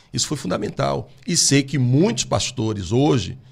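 Against a quiet background, a man with a somewhat breathy, medium-pitched voice speaks at a moderate pace with lively intonation. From Brazil. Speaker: pastor. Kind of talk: interview. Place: studio. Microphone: studio mic.

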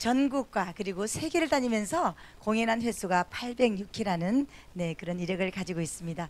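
At a fairly slow pace, a woman speaks in a dry sound with no echo. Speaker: event emcee. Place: church. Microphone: handheld.

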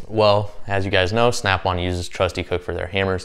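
With monotone, flat intonation, a man speaks at a fairly low pitch and moderate pace against a quiet background. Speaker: tool reviewer. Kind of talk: casual vlog chat. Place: garage. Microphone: lapel.

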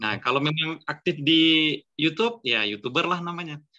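Here is a man with a plain, everyday voice. He speaks at a moderate pace and a fairly high pitch. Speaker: online writing class moderator. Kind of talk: moderating an online class. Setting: video call. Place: home room. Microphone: video call.

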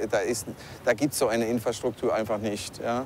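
Light background noise sits under a man's dry sound with no echo. His intonation is monotone and flat. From Germany, Palatinate. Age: 40s. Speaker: call center owner. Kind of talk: interview; interview answer. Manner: halting. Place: street.

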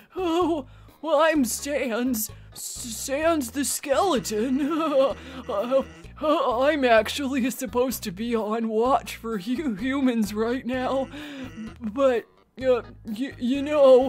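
Speaking very slowly in a high-pitched, put-on character voice, a woman talks over faint music in the background. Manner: laid-back, drawling.

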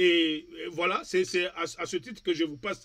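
The background is quiet while a man talks. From Democratic Republic of the Congo. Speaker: TV talk show host. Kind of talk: political talk show discussion. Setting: TV studio with remote guest. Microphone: webcam.

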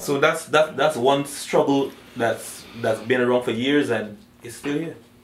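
A man with a Guyanese accent speaks at a fairly slow pace with fairly even intonation. There is audible room echo and light background noise. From Guyana. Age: young. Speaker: dancehall and soca singer. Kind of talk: interview answer. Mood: earnest, passionate. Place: home room.

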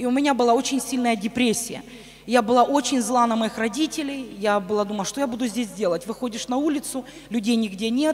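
A woman speaking at a fairly quick pace over light background noise. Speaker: pastor's wife and missionary; pastor's wife. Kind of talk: testimony. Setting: church. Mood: earnest personal testimony. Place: church. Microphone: handheld.

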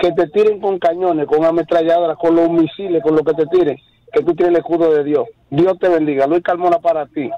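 The voice moves at a fairly quick pace with very even loudness and fairly even intonation, the sound dry with no echo over light background noise. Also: man, high pitch for a man. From Dominican Republic. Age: 50s. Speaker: radio caller. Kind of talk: call-in comment. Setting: phone call. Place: studio.

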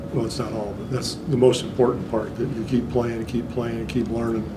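A man is heard over loud background noise. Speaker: basketball coach. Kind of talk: press conference answers. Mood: calm, reflective, low-key. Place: meeting room. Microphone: podium.

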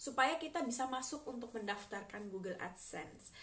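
With noticeable background noise around her, a woman speaks using ordinary pitch variation. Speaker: vlogger. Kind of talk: casual vlog talk; screen tutorial.

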